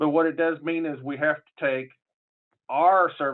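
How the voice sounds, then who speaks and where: A man with a southern Illinois accent at a moderate pace. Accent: southern Illinois accent, far from Chicago. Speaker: public health official. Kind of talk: conference panel talk. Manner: casual, halting with fillers.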